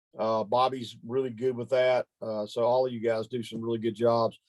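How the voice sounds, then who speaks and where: With a Southern US accent, this man is talking. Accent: southern US drawl. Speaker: ministry training leader. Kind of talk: training meeting.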